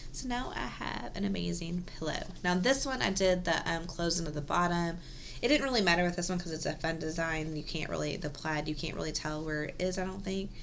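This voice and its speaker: A soft-spoken woman with a fairly low pitch and ordinary pitch variation talks at a fairly quick pace amid audible room echo. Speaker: cross-stitch video host. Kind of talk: casual show-and-tell vlog. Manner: soft-spoken, quiet; hesitant, many ums.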